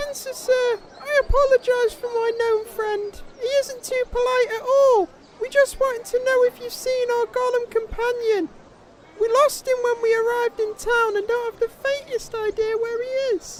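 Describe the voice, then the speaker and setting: Putting on a squeaky character voice, a woman talks at an extremely high pitch with monotone, flat intonation. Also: moderate pace. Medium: audio drama. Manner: nervous, formal, deferential.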